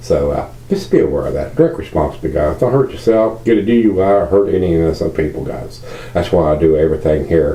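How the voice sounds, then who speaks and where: A man with a Virginia accent talks at a very fast pace with hardly any pauses, his very deep, low pitch swinging very widely. Noticeable background noise and audible room echo fill the recording. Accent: Southern US, Virginia. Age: 60s. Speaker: beer reviewer. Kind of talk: casual video review monologue. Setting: at home. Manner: halting, many fillers.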